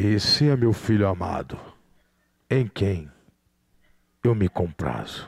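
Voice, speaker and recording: Putting on a booming character voice, a man speaks fairly slowly at a fairly low pitch in a solemn tone, with lively intonation and long, frequent pauses. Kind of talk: preacher performing a divine voice. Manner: booming, solemn.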